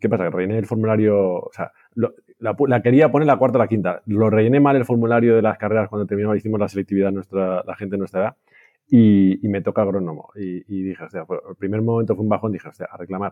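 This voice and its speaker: A man at a very fast pace, fairly low in pitch, with fairly even intonation. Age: 40s. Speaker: IT director. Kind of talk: interview.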